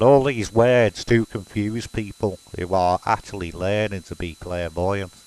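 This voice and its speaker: A man with a Liverpool accent speaks at a fairly slow pace, in a dry, close sound with no echo. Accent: Scouse. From Liverpool, England. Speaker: spiritualist medium. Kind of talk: casual explanatory monologue.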